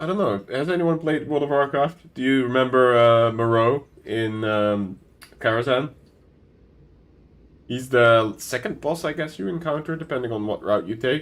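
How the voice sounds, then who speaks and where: Male speaker, medium-pitched, moderately paced, with ordinary pitch variation. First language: not English. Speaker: gaming streamer. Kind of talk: casual chat.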